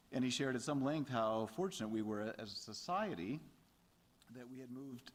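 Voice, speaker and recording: Audible room echo is present. The talking moves fairly quickly. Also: man. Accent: American. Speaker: theology lecturer giving a response. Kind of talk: lecture response remarks. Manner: halting, many fillers.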